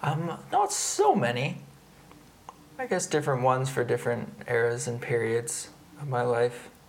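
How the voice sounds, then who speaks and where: Amid noticeable background noise, a man with a Canadian accent talks at a moderate pace in a medium pitch, with ordinary pitch variation and long, frequent pauses. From Canada, Victoria. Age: 30s. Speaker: performance artist. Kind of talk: casual chat. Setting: at home.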